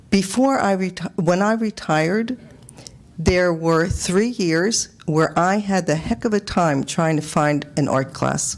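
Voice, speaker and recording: With noticeable background noise behind her, a woman with a fairly low pitch uses lively intonation at very even loudness. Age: 70s. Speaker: retired resident speaking at public hearing. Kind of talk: public comment at town budget hearing.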